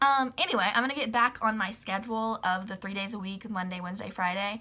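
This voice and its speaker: Her tone bright and sharp, a woman speaks at a fairly quick pace with fairly even intonation. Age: 20s. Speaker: YouTuber. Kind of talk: casual vlog monologue. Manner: chatty with many fillers. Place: home room.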